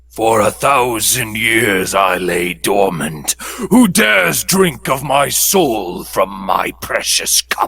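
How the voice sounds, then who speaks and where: A man puts on a raspy character voice at a medium pitch and speaks at a very slow pace. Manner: ominous.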